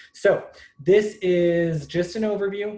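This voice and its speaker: The man's tone is dark and mellow. His voice is somewhat breathy. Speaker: real estate trainer. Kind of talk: webinar presentation. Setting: video call. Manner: fast; frequent filler ums.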